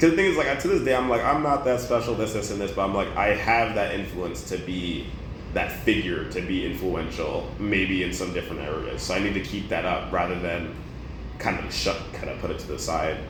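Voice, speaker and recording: A man talks in an animated tone at a fairly quick pace. Audible room echo and noticeable background noise fill the recording. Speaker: former esports player. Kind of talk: casual interview. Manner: loud.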